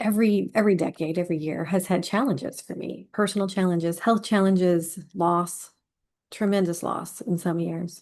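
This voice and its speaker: At a moderate pace and medium pitch, a woman speaks in an ordinary speaking voice with ordinary pitch variation against a quiet background. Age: 40s. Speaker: healing and self-care coach. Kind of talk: casual vlog talk.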